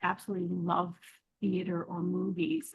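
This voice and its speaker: At a fairly slow pace, a woman speaks with a medium pitch and a somewhat breathy voice. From Alberta, Canada. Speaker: author. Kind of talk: podcast interview answer.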